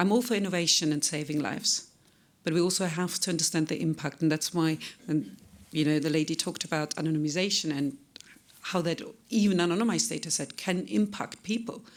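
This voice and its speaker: On a very clean recording with a silent background, a woman with a non-native accent speaks fairly quickly at a fairly low pitch. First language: not English. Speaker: data protection consultant. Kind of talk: conference talk. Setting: conference stage with audience.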